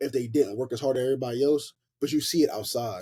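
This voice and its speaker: Somewhat breathy and dark, mellow in tone, a man with an American accent speaks at a fairly quick pace in a dry, close sound with no echo. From US South, Memphis, Tennessee. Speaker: college football player. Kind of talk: casual chat. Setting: podcast interview. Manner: casual, filler-heavy speech.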